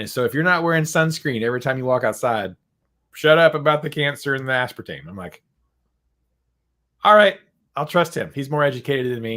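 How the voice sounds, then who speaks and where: A man with an American accent at a fairly quick pace, fairly high-pitched with a bright, sharp tone, lively intonation, big swings in loudness and long, frequent pauses, on a very clean recording with a silent background. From US South. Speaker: podcast host, guitar shop owner. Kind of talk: casual chat.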